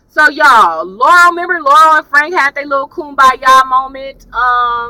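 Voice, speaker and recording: A woman's raised, projected voice, high-pitched and animated, with lively intonation at a moderate pace. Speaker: YouTube TV reviewer. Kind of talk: casual chat. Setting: in a car.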